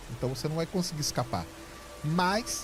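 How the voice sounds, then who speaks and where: A man talks in a calm tone with music in the background. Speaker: astronomy communicator. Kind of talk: interview answer.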